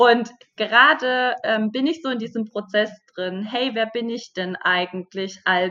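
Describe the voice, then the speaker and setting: A woman's fairly high voice with ordinary pitch variation, at a very slow pace. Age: 30s. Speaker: online business mentor. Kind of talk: interview.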